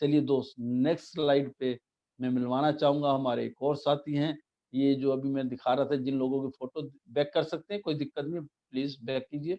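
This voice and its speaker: Against a quiet background, a man with a fairly high pitch and a dark, mellow tone speaks at a moderate pace in a monotone, flat intonation, the sound dry and close with no echo. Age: 60s. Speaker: network marketing business presenter. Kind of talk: business presentation with slides.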